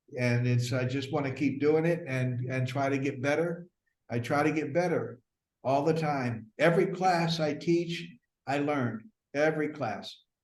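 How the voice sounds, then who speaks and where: Over audible room echo, the speaker talks at a fairly slow pace with ordinary pitch variation. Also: man, fairly high pitch for a man. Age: 70s. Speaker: acting teacher. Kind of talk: casual interview. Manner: halting, many fillers.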